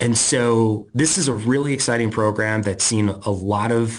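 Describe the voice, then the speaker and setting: Against a quiet background, a man with a fairly low pitch speaks at a very slow pace with ordinary pitch variation. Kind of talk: interview answer. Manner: excited, passionate.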